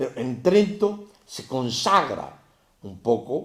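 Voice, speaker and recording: A man's voice carries vocal fry. Audible room echo surrounds it. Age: 70s. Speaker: religious teacher. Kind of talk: lecture. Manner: animated.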